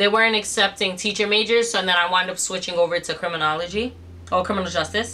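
At a very fast pace, a woman with an American accent speaks with fairly even intonation. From New York City. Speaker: influencer and business owner; influencer. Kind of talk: casual vlog Q&A. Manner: casual, filler-heavy. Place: home room.

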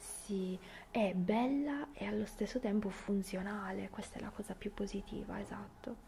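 A woman talks at a fairly slow pace with ordinary pitch variation. Light background noise sits behind her. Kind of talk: ASMR role-play chat to the viewer.

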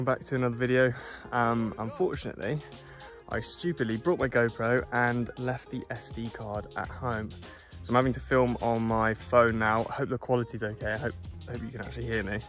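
Delivered at a fairly quick clip with ordinary pitch movement, the voice sounds dry with no echo while faint music plays behind it. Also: man. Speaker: triathlete vlogger. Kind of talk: casual vlog chat. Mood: cheerful, upbeat. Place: open country. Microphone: phone near.

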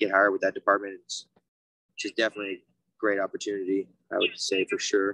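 An American accent at a very fast pace, in a dry sound with no echo against a quiet background. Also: man. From US West Coast. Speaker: EMT and paramedic student; guest. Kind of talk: casual career talk on video call. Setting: video call. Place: street. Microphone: video call.

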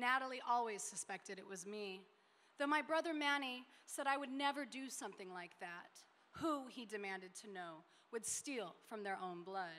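Speaking in an American accent at a moderate pace, a woman has a bright, sharp tone, lively intonation and big swings in loudness. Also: fairly high pitch for a woman. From Denver, Colorado. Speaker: short story writer. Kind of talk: panel discussion; reading aloud. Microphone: podium.

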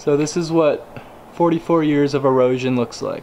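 Light background noise is present. A man talks over it at a moderate pace. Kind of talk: casual exploration commentary. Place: forest. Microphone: phone near.

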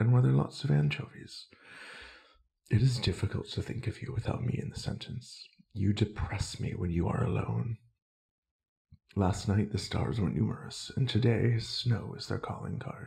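Long, frequent pauses break up a man's fairly low, dark, mellow voice, which has vocal fry, lively intonation and a moderate pace. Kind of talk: ASMR poetry reading. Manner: soft-spoken, not whispered.

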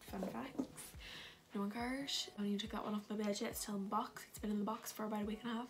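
Over noticeable background noise, a woman speaks very fast in a monotone, flat intonation. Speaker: beauty and fashion vlogger. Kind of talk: casual haul video talk to camera. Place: home room. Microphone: phone near.

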